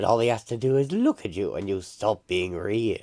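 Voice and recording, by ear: A natural voice, reading aloud.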